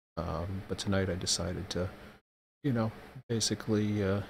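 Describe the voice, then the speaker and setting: Soft-spoken and somewhat breathy, a man speaks at a moderate pace with a very deep, low pitch and monotone, flat intonation. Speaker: streamer / vlogger. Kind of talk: casual vlog update. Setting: at home at night, child asleep. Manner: hesitant, many fillers.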